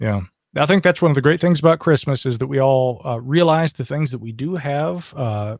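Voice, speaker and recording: With an American accent, a man talks at a fairly quick pace in a fairly high voice with lively intonation, the sound dry and close with no echo. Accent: noticeable accent remarked on by others. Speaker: podcast host. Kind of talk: live call-in show.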